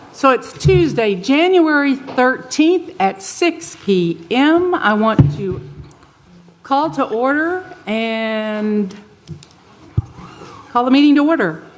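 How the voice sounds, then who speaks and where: With an American accent, a woman talks at a very slow pace in a high voice, making very wide pitch swings and long, frequent pauses, with audible room echo. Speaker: mayor presiding over city council. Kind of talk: public meeting chairing. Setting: city council chamber. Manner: soft-spoken.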